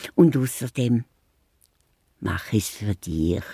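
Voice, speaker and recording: Someone uses a put-on character voice. The pace is very slow. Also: woman, very deep, low pitch for a woman. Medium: audio drama. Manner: lively.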